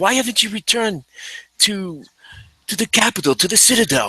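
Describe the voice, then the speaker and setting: A man puts on a character voice. It is high in pitch and delivered at a moderate pace. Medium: actual play.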